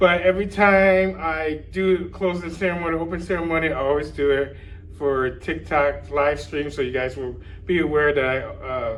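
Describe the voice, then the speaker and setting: A man's fairly high voice at a moderate pace, fairly even in intonation, with audible room echo. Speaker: YouTuber covering a fan convention. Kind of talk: vlog to camera. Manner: halting, stumbling over words.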